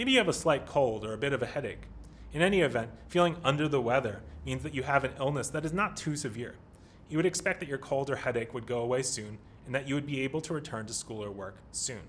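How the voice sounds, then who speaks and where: A man with a Pennsylvania accent at medium pitch, somewhat breathy, very fast in pace, with ordinary pitch variation. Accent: American, Pennsylvania. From US, Pennsylvania. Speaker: English teacher. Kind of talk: lesson. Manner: formal.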